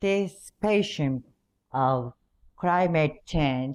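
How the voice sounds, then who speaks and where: Very deep and low in pitch, a woman speaks at a very slow pace with lively intonation. The recording is very clean, with a silent background. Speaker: city mayor. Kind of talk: conference presentation. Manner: formal.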